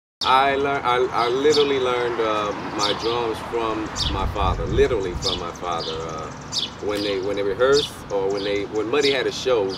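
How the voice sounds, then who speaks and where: A man talks at a moderate pace. Loud background noise fills the clip. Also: ordinary pitch variation. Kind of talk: interview answer. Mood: reflective, nostalgic. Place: street.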